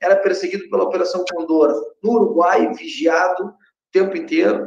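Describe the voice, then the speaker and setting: A man talks fairly quickly, his intonation lively. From Uruguay. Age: 40s. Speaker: mayoral candidate. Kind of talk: interview.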